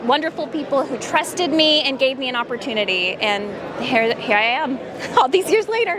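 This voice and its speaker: Noticeable background noise and audible room echo fill the recording. Within it, a woman talks in a high pitch. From Texas, Paris. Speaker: voice actress. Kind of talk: interview. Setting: convention booth.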